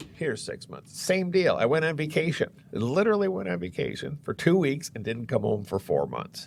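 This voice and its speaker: A man with an American accent and vocal fry, at a moderate pace with very wide pitch swings. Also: fairly high pitch for a man. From Florida. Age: 60s. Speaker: real estate agent. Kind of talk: podcast interview. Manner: animated.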